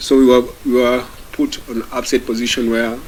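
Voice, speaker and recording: Amid noticeable background noise, a man speaks at medium pitch and a fairly slow pace in a monotone, flat delivery. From Kenya. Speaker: activist. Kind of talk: testimony speech to audience.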